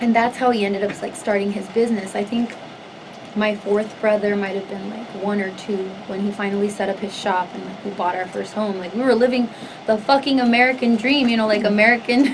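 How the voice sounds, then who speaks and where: Speaking with a Spanish accent, a woman talks at a fairly quick pace and medium pitch, her intonation fairly even. Noticeable background noise and audible room echo fill the recording. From Southern California (Los Angeles area). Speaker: singer. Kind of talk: interview, life story. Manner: casual, heavy use of 'like'.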